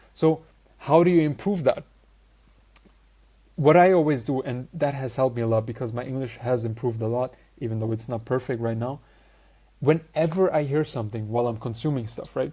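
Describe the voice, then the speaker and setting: A man with a non-native accent speaks at a fairly quick pace, his medium-pitched voice dark, mellow and somewhat breathy. Long pauses break up his speech often. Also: ordinary pitch variation. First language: not English. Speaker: social skills coach. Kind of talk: online course lecture.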